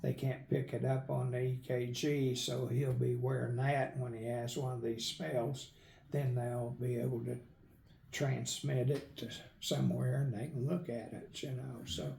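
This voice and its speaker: Through audible room echo, a man with an American accent speaks at a fairly slow pace. His medium pitch carries fairly even intonation. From Northern Oklahoma. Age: 70s. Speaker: retired medical worker and author. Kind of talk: interview.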